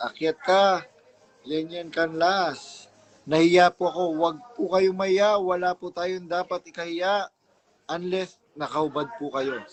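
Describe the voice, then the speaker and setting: A man speaks at a fairly slow pace in a high pitch. His intonation stays fairly even. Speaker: livestream host. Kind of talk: casual livestream chat. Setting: live stream.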